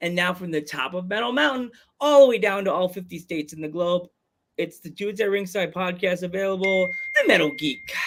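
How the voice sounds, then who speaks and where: A man with a Long Island accent talks at a fairly quick pace, his pitch high with ordinary variation. His loudness swings widely. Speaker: podcast host. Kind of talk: casual chat. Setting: live streamed podcast.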